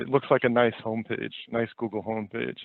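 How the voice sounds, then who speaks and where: Speaking at a moderate pace, a man talks in a New York accent. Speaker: online reputation specialist. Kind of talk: webinar presentation. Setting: webinar. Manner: halting, many fillers and repeats.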